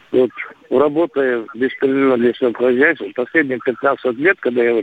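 At a moderate pace, a man of medium pitch speaks with ordinary pitch variation amid noticeable background noise. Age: 60s. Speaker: caller. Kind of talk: phone-in call. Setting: phone call.

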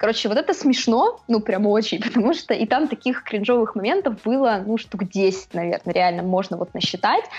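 Over noticeable background noise, a woman talks at a fairly high pitch with very even loudness and hardly any pauses. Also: lively intonation, moderate pace. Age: 20s. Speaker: blogger on feminism, films and books. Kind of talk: interview.

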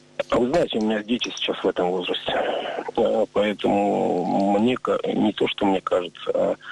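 A man's voice against noticeable background noise. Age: 40s. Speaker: recovering drug addict. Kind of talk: testimony.

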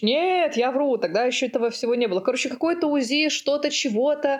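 A woman speaks with lively intonation. Noticeable background noise sits behind her. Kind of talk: casual chat. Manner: halting.

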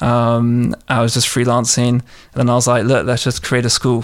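This man talks at a medium pitch with a London accent. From southwest London, England. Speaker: entrepreneur. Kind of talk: interview.

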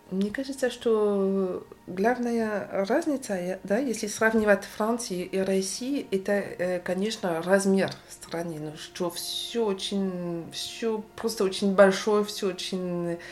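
Over music in the background, a woman talks very slowly at a medium pitch with ordinary pitch variation. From Brittany, France. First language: French (speaking Russian). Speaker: sociologist. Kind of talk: casual chat. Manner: halting.

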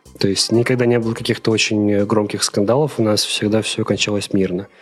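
A man's monotone, flat delivery at a fairly quick pace and very even loudness, with music in the background. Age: 20s. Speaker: media product manager, former editor-in-chief. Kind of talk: interview.

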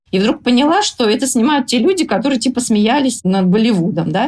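A somewhat breathy woman's voice, quite quick, with lively intonation. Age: 40s. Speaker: blogger and writer. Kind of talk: podcast interview.

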